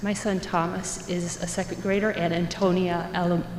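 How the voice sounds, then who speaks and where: A woman with a medium-pitched voice talks while noticeable background noise carries on. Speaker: parent speaking at public comment. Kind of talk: public comment speech.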